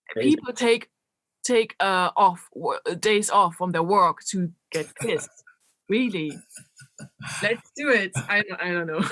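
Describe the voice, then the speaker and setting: In a German accent, a woman speaks at a medium pitch with lively intonation, a fairly slow pace and long, frequent pauses, recorded dry and close with no echo. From Germany, Berlin. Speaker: electronic musician and DJ. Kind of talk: interview. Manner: animated; halting.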